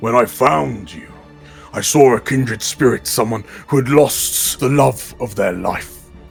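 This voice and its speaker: Faint music plays in the background as a put-on character voice moves at a moderate pace. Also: man, medium pitch for a man. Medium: actual play. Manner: smooth, patronizing.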